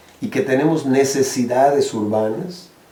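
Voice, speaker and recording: A man is talking, his pitch varying in an ordinary way. Noticeable noise sits behind his voice. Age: 60s. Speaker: social activist, eco-village co-founder. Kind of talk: interview advice. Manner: halting, with repetitions.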